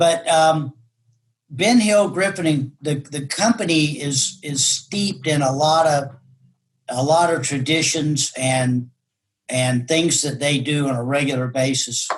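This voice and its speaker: A man speaks at a fairly slow pace with a fairly high pitch. His voice is somewhat breathy, with ordinary pitch variation. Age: 60s. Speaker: realtor and folk singer-songwriter. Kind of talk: interview reminiscence. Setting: video call. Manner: halting, many restarts and fillers.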